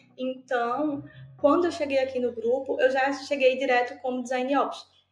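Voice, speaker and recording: Against music in the background, a woman with a high-pitched voice speaks at a moderate pace. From Brazil, Pernambuco. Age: 20s. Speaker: design operations specialist. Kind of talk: interview.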